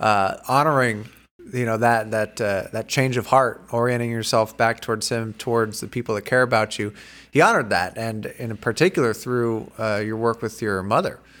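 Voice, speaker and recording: On a very clean recording with a silent background, a man with an American accent has an ordinary speaking voice, medium pitch, fairly even intonation and a moderate pace. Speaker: podcast host and church teacher. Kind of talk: casual interview.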